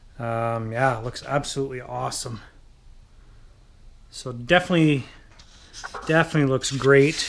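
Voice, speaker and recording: A man with a medium pitch speaks with long, frequent pauses. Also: ordinary pitch variation, moderate pace, big swings in loudness. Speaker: RC model builder and channel host. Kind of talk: tutorial. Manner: casual with frequent fillers.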